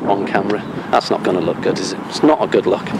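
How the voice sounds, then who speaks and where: A man at a very fast pace against noticeable background noise. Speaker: police auditor, YouTuber. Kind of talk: confrontational street conversation with police. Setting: outdoors at police headquarters. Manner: formal, articulate.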